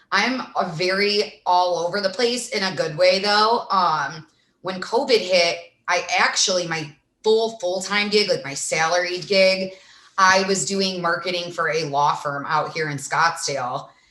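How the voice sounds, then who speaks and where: With a strong Midwestern accent, a woman speaks at a medium pitch and a fairly slow pace, her tone bright and sharp. Her pitch varies in an ordinary way, and audible room echo surrounds her. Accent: thick Midwestern. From US Midwest, small-town Illinois. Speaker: influencer and sports reporter. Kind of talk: casual podcast chat. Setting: podcast.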